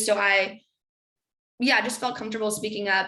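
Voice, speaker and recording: A woman speaks in a bright, sharp tone with an American accent. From New York City, then San Francisco. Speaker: tech marketing manager. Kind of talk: career seminar interview. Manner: casual, many fillers.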